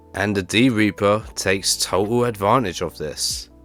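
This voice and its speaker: Fairly slow speech with music in the background. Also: man. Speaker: YouTube anime commentator. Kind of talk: video essay narration.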